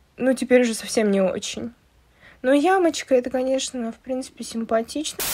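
The woman's voice sits high in pitch. Her pace is moderate. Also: ordinary pitch variation. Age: 20s. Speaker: video blogger. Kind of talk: personal vlog monologue. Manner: casual, with swearing. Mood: sad, confessional.

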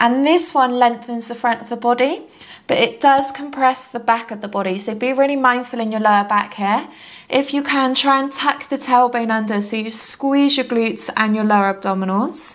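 In a gentle tone, a woman with a high pitch speaks with ordinary pitch variation. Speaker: yoga instructor. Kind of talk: guided yoga class, calm step-by-step cueing. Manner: soothing, slow and unhurried; gentle, encouraging. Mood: calm, soothing.

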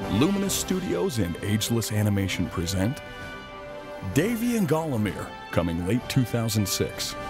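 Music plays in the background while a man with a fairly low pitch speaks at a moderate pace, his intonation lively and his loudness very even. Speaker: announcer. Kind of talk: movie trailer.

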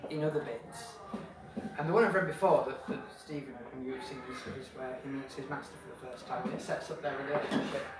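A man talks at a very fast pace. Audible room echo and loud background noise fill the recording. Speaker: author. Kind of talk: casual introduction to live audience. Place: bar. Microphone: camera far.

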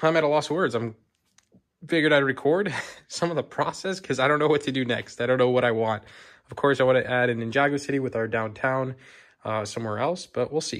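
A man at a very fast pace, ordinary pitch variation, quiet background. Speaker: hobby vlogger. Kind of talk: casual vlog chat. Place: home room. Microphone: phone near.

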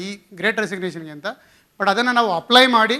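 A man uses a raised, projected voice with a high pitch. His tone is bright and sharp, with ordinary pitch variation. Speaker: HR executive. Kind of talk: conference talk. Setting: stage with audience.

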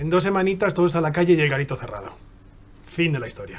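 A man talks very fast in a high pitch, with ordinary pitch variation and big swings in loudness. Noticeable background noise runs underneath. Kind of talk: dramatic acting scene, casual and coarse dialogue.

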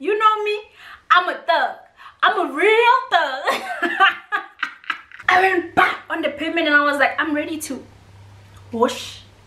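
An extremely high-pitched woman's raised, projected voice, lively in intonation, fairly slow, with long, frequent pauses. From South Africa. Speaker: YouTuber. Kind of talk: casual storytime talk to camera while eating. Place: home room. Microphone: camera far.

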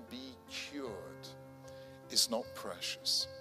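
Speaking at a very slow pace, a man is heard with clear music in the background. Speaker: conference speaker. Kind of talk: lecture. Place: hall. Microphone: podium.

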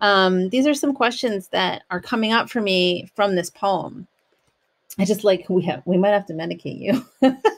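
A woman speaks with an American accent at a moderate pace. Her intonation is lively. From United States. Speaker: podcast host, poet and yoga teacher; podcast host. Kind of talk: casual solo talk with poetry reading. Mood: calm, earnest, spiritual. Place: home room. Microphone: studio mic.

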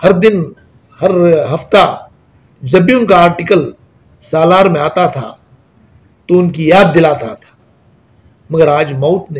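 This man has a high pitch and ordinary pitch variation. He talks at a fairly slow pace with long, frequent pauses. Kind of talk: interview answer, tribute to a deceased scholar. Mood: solemn, respectful condolence. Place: office.

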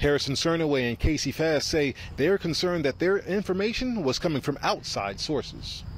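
A man speaks at a fairly quick pace with lively intonation and a fairly high pitch, hardly pausing at all. The sound is dry with no echo, over light background noise. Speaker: field reporter. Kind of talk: live news reporting. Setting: outdoors, live on location. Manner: formal, steady, authoritative. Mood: serious.

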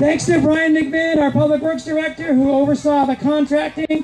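The pace of speech is moderate. Behind it, music plays faintly. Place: open country. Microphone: handheld.

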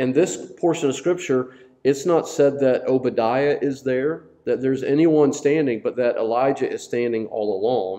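A dark, mellow tone at a moderate pace, with ordinary pitch variation and a quiet background. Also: man. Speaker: Bible study teacher. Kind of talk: sermon. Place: church. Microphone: lapel.

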